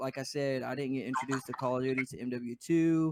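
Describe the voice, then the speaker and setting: Very fast speech with a Louisiana accent, in a dry, close sound with no echo. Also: man. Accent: Southern US (Louisiana). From US South (Denham Springs, Louisiana). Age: 20s. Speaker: gaming podcast co-host, esports player. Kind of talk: casual chat.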